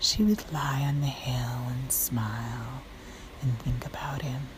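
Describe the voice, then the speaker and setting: A soft-spoken woman whispers at a very slow pace. Noticeable background noise can be heard. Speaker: fitness trainer. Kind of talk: bedtime story. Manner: whispered, soft.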